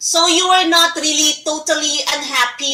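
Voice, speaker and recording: A woman speaks in a raised, projected voice. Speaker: online talk show host. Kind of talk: interview.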